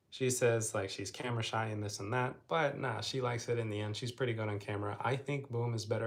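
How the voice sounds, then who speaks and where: Talking at a very fast pace, a man uses a medium pitch and fairly even intonation, his voice somewhat breathy. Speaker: travel vlogger. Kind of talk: casual live stream chat. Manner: flat, low energy.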